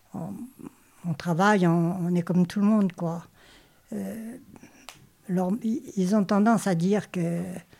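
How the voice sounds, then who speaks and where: A woman speaks at a fairly slow pace in a dark, mellow tone with ordinary pitch variation. The recording is very clean, with a silent background. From Normandy, France. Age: 80s+. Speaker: retiree and volunteer. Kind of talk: interview testimony. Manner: halting.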